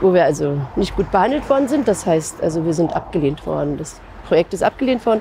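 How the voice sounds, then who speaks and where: A woman's fairly low voice at a very fast pace with very wide pitch swings, a dry sound with no echo, and light background noise. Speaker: civil rights activist, contemporary witness. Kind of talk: interview answer. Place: street.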